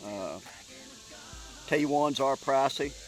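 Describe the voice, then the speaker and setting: Background music accompanies a male speaker. His delivery is fairly slow. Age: 60s. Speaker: deer hunter. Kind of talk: casual chat. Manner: halting.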